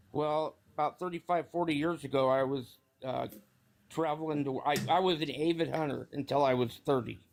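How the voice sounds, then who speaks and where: A man's fairly high voice, fairly even intonation and moderate pace, with music in the background. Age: 60s. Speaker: caller on a live stream. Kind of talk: casual chat. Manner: halting.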